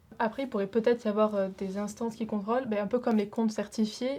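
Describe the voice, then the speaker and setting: A woman's somewhat breathy, dark and mellow voice, fairly high in pitch, fairly quick, in a monotone, flat intonation. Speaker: student. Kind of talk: podcast discussion.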